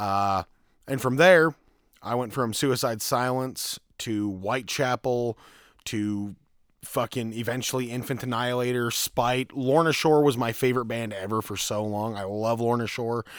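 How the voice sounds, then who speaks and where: A man speaks at a moderate pace in a normal speaking voice, his pitch medium. The recording is very clean, with a silent background. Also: fairly even intonation. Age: 20s. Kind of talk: casual chat. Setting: garage.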